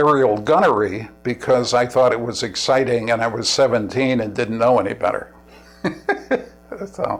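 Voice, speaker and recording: At a moderate pace, a man with a medium pitch and ordinary pitch variation speaks with long, frequent pauses. Music plays in the background. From New York City. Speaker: war veteran. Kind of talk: oral history interview. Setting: at home. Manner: halting, with restarts.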